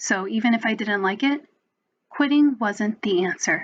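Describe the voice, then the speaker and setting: A woman's fairly high voice with an American accent, ordinary pitch variation, moderate pace. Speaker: spoken word poet. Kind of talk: spoken word poetry performance.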